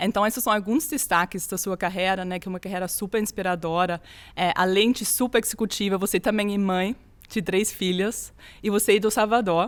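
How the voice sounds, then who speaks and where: A woman speaks at a fairly quick pace with fairly even intonation. The recording is very clean, and the background is silent. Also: medium pitch for a woman. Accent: non-native. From Austria. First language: German (speaking Portuguese). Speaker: HR executive and podcast host. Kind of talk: interview conversation.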